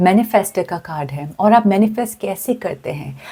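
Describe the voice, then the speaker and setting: Her voice has a dark, mellow tone and sits at a medium pitch. This woman sounds somewhat breathy. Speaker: tarot card reader. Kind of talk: tarot reading to camera. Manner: casual, hesitant fillers.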